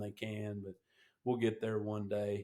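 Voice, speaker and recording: The tone is dark and mellow. The pace is moderate. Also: man. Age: 60s. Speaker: veteran helicopter pilot and knife maker. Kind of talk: casual interview chat.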